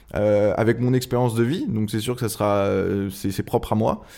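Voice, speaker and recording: Over a silent background in a very clean recording, a man with a dark, mellow tone talks at a moderate pace. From France, Angers. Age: 20s. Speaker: surf club volunteer, rap fan. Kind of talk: casual interview. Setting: club office.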